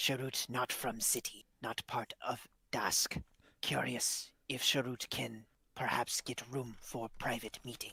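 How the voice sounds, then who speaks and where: A man puts on a character voice at a medium pitch, speaking fairly slowly in a flat monotone, with a dry, close sound and no echo. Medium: actual play. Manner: broken third-person speech.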